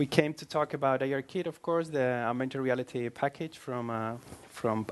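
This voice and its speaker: A man with a Spanish accent at a fairly quick pace, medium in pitch with fairly even intonation. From Spain. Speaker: iOS developer. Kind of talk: tech meetup presentation.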